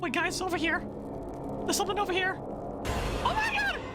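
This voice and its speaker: A cartoonish character voice speaks at a moderate pace over loud background noise. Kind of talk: cartoon character parody. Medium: machinima. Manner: excitable.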